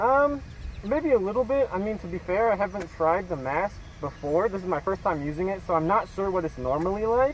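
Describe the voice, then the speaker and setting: A man with a high voice talks at a fairly quick pace with lively intonation. The sound is dry and echo-free, with light background noise. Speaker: friend trying a product. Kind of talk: casual review. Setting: outdoors while jogging. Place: open country. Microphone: camera far.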